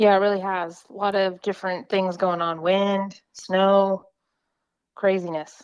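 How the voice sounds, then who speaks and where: With an American accent, a woman talks at a fairly slow pace in a medium pitch and a monotone, flat intonation against a quiet background. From Oklahoma. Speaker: weather podcast co-host, meteorology student. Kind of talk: casual chat.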